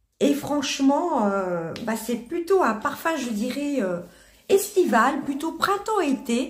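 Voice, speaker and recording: Speaking at a very slow pace, a woman with a high pitch moves through very wide pitch swings, with audible room echo around her. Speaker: beauty and perfume youtuber. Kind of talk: product review. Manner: halting, many hesitations.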